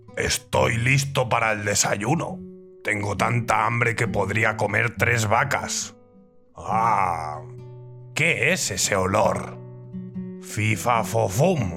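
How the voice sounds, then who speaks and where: A man performs a put-on character voice at a very slow pace. Clear music plays in the background. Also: medium pitch for a man. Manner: growling, menacing.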